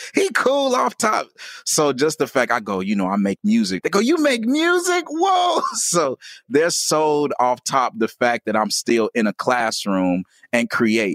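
A man with an American accent at a fairly slow pace, very even in loudness, with a dry, close sound and no echo. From US Midwest (Gary, Indiana). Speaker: rapper and educator. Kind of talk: interview.

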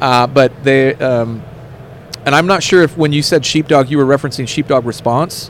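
A man talks at a fairly high pitch and a moderate pace, his intonation fairly even. Background noise is noticeable. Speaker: firearms instructor. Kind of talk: interview.

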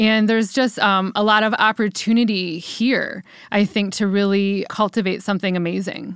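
On a very clean recording with a silent background, a woman speaks with a Midwestern American accent. Her medium-pitched delivery is monotone and flat. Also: moderate pace. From US Midwest, Cleveland, Ohio. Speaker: entrepreneur and event venue founder. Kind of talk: interview.

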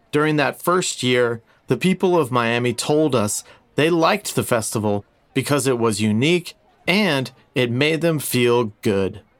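With an American accent, this normal speaking voice moves at a fairly slow pace, with very even loudness and lively intonation. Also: man, medium pitch for a man. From South Florida, Boca Raton. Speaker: poet and festival organizer. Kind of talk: storytelling.

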